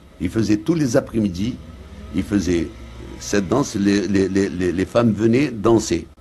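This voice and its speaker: A man speaks at a fairly slow pace, his voice somewhat breathy. His intonation is lively, broken by long, frequent pauses. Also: fairly low pitch for a man. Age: 70s. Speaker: violinist. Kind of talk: interview. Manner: halting, repetitive.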